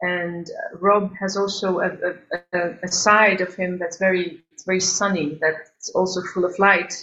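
A woman speaks with an Albanian accent. Her pace is fairly slow. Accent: Albanian-European accent in English. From Albania, then Geneva, Switzerland from age 10. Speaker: singer and composer. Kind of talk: interview. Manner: halting.

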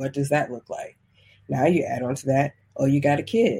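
A woman speaks at a fairly quick pace with a very deep, low pitch. Her tone is dark and mellow, and somewhat breathy. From US, military family, moved around (South, Hawaii, East Coast). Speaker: life coach. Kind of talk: interview. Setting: remote call.

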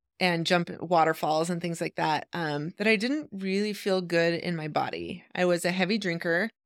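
At a moderate pace, an unremarkable speaking voice with an American accent comes through on a very clean recording with a silent background. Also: woman. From Idaho, US. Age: 40s. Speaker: podcast host. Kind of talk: monologue.

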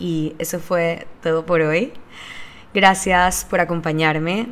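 A woman talks at a very slow pace in a Panamanian accent, her fairly low pitch held to fairly even intonation. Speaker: podcast host and business owner. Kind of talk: solo monologue podcast.

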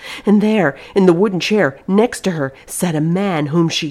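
The speaker reads in a natural reading voice, and the pitch varies in an ordinary way.

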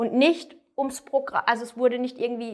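A woman talks at a fairly quick pace, her pitch fairly high. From southwest Germany, near Freiburg. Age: 30s. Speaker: weight-loss coaching client. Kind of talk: interview testimony. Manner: hesitant, many fillers.

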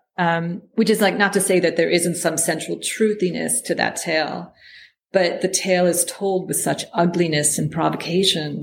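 In a fairly low voice with vocal fry, a woman speaks in a monotone, flat way. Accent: American. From United States. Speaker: poet. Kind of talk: interview.

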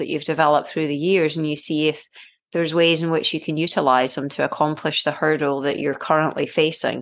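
In a Scottish accent, a woman with a very deep, low pitch speaks at a very fast pace against a quiet background. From Scotland. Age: 40s. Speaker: triathlete and screenwriter. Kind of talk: interview.

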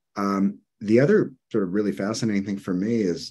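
A man's fairly low-pitched, ordinary speaking voice at a fairly quick pace. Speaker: psychologist and author. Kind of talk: interview. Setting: video call.

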